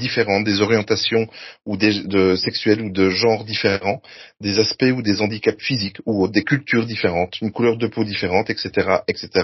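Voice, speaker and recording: A man talks in a fairly low pitch with fairly even intonation. His voice comes across as somewhat breathy. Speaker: podcast host. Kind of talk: scripted narration; casual chat.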